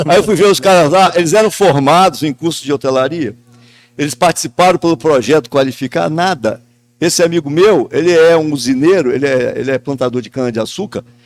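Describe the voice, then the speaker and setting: A man at a fairly quick pace with ordinary pitch variation, in a very clean recording against a silent background. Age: 60s. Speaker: businessman and local TV owner. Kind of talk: podcast panel discussion. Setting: event venue outside the studio.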